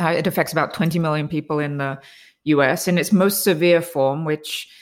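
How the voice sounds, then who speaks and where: A woman with an English accent and a very deep, low pitch, fairly quick in pace and fairly even in intonation, in a very clean recording with a silent background. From England. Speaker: biotech executive. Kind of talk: interview.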